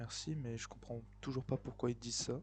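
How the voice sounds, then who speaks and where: Soft-spoken, a man talks at a moderate pace. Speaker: gaming YouTuber. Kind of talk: let's play commentary.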